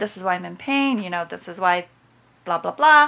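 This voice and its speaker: A woman speaks with a bright, sharp tone. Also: very clean recording, silent background. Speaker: runner with chronic illness. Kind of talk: casual chat.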